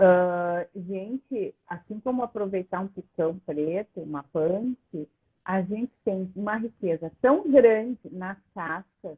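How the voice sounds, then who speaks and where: A woman speaks at a very slow pace and medium pitch, with ordinary pitch variation and big swings in loudness. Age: 60s. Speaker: plant-based food educator. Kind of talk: live video chat.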